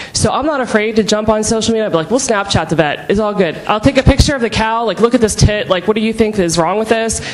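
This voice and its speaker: With an American accent, a woman talks at a very fast pace with hardly any pauses over noticeable background noise. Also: ordinary pitch variation. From Pittsburgh, Pennsylvania. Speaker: beef producer. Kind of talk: panel discussion. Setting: conference stage with audience.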